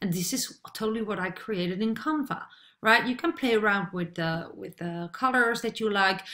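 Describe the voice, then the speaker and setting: A woman with a Dutch accent speaks in a bright, sharp tone with lively intonation. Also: medium pitch for a woman, moderate pace. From Netherlands. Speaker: online marketer; online business coach. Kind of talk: tutorial. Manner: hesitant, many fillers. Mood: friendly, upbeat.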